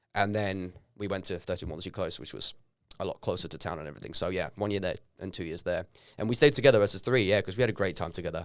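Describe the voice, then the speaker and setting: A man talks very fast in a fairly low pitch with ordinary pitch variation and big swings in loudness. The recording is very clean, with a silent background. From Norway, Bergen. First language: Norwegian. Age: 30s. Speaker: actor and personal trainer. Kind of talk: podcast conversation.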